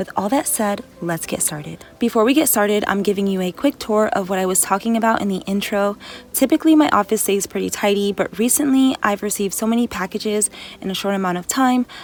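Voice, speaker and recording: Very fast and at medium pitch, a woman speaks with ordinary pitch variation over noticeable background noise. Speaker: lifestyle vlogger. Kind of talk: scripted voiceover; casual vlog talk to camera. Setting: home office.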